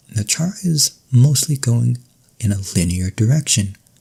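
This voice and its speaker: A soft-spoken man with a calm tone and medium pitch talks at a fairly slow pace with lively intonation. His voice is dark, mellow and somewhat breathy. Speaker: ASMR creator. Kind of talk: ASMR educational lesson, soft-spoken roleplay as a professor. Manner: soft-spoken, calm.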